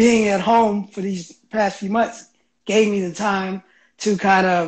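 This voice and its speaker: Over a quiet background, a man speaks at a moderate pace in a high pitch with monotone, flat intonation. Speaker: remote guest. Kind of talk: interview answer. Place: home room. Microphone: video call.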